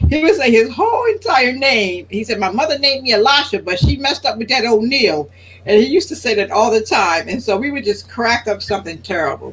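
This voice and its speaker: With noticeable background noise, a woman in an American accent speaks at a fairly quick pace, her fairly high pitch making very wide swings. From Philadelphia, US. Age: 60s. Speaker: religious speaker. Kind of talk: talk show interview.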